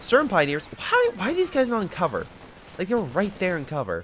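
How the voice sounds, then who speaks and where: A very fast-talking man with very wide pitch swings amid noticeable background noise. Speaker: gaming commentator. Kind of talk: live commentary. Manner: casual, animated.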